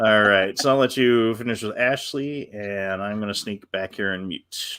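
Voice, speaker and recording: A man with a Western New York accent and a bright, sharp tone speaks at a moderate pace with fairly low pitch and fairly even intonation. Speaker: co-host of spirit message show. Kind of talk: live show chat.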